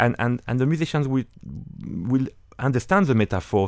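On a very clean recording with a silent background, a man speaks with a French accent. His pace is moderate and his intonation lively. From northern France. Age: 50s. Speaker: orchestra conductor. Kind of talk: interview. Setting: studio.

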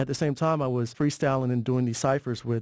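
Talking at a fairly quick pace, a man uses an ordinary speaking voice with ordinary pitch variation. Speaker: hip-hop educator, organization co-founder. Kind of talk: interview.

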